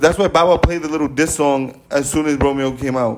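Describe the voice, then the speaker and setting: Through noticeable background noise comes a man's voice with ordinary pitch variation. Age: 30s. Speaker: podcast host. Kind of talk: casual chat. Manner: animated.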